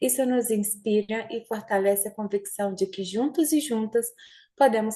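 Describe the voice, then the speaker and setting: A woman speaks at a fairly slow pace in a dark, mellow, somewhat breathy tone, with medium pitch and ordinary pitch variation. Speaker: audit institution official. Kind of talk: formal closing speech. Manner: formal.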